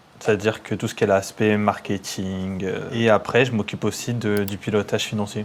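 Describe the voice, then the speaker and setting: A man talks at a moderate pace with hardly any pauses, his pitch fairly low and his intonation monotone and flat. Noticeable noise sits in the background. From Paris suburbs, Seine-et-Marne. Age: 30s. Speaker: entrepreneur, engineer. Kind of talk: casual interview.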